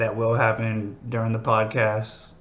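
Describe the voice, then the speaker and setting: Echo from the room can be heard. Through it, a man talks at a middle pitch. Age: 30s. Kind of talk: casual monologue. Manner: halting, many fillers.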